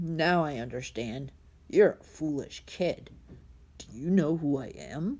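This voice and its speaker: A woman puts on a soft-spoken, hissing character voice with a very deep, low pitch at a fairly slow pace. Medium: read story. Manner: condescending, menacing.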